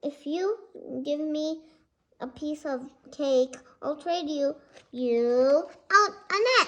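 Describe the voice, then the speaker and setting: A woman uses a put-on character voice, pitched high. She speaks at a very slow pace with long, frequent pauses. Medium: read story. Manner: jovial, coaxing.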